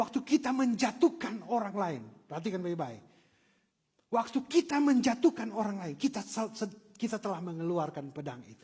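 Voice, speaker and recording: A man with a Manado accent speaks in an animated tone at a high pitch and moderate pace. His pitch swings very widely and his loudness rises and falls sharply. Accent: Manado Malay. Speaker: pastor. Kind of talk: sermon. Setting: church.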